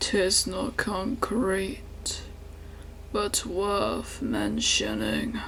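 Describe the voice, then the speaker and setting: A man's put-on character voice, very slow, over clear background noise. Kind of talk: archaic gothic monologue. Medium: solo performance. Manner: formal, measured, somber.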